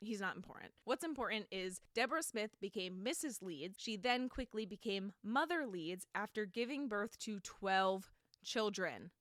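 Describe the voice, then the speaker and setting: With an American accent, a woman talks at a moderate pace in a medium pitch, her tone animated and her intonation lively, in a dry, close sound with no echo. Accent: New Jersey accent, comes out at times. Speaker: podcast host. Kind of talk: casual storytelling monologue.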